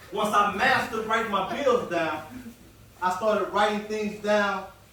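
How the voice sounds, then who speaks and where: Noticeable background noise sits behind a man with a high pitch and energetic tone. He speaks at a moderate pace with ordinary pitch variation. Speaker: motivational speaker. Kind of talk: motivational talk to a live audience. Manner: conversational, energetic.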